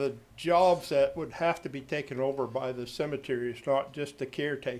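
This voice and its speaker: A man is speaking. His voice sits at a medium pitch. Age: 70s. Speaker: cemetery caretaker. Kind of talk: public comment at council meeting. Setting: city council meeting.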